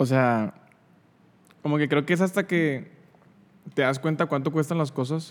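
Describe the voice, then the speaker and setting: In a very clean recording with a silent background, a man with a fairly high voice speaks at a fairly slow pace, keeping his loudness very even and leaving long, frequent pauses. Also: ordinary pitch variation. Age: 20s. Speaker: podcast host. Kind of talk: casual chat.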